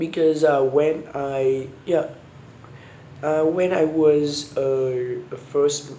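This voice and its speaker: A man with a Vietnamese accent speaks at a very slow pace in a fairly high pitch, his intonation monotone and flat. The room echo is audible, and background noise is noticeable. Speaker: university student. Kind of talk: spoken homework answers. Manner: halting, many repetitions and restarts.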